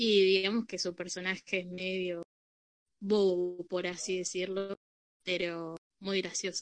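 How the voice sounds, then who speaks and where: Her medium-pitched voice stays monotone and flat as the woman speaks at a fairly slow pace with long, frequent pauses, the sound dry and close with no echo. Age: 20s. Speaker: photographer. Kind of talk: casual group conversation.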